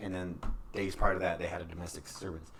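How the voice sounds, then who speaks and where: This man has a very deep, low pitch and a somewhat breathy voice. His pitch varies in an ordinary way, and room echo is audible. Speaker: podcast co-host. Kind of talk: casual podcast chat, reading news reports aloud. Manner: halting, stuttering.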